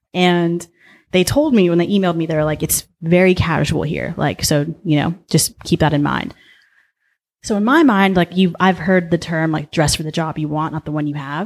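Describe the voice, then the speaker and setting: A woman with a Southern California accent speaks at a fairly low pitch. The recording is very clean, with a silent background. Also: ordinary pitch variation. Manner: fast talker.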